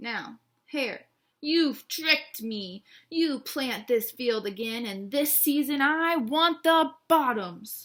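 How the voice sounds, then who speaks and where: A woman puts on a growling character voice pitched high. She delivers it at a very slow pace. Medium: read story. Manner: slow, drowsy.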